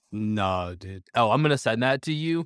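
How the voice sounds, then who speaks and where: A man's medium-pitched, fairly slow delivery in a normal speaking voice, with ordinary pitch variation. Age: 30s. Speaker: podcast co-host. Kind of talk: casual chat.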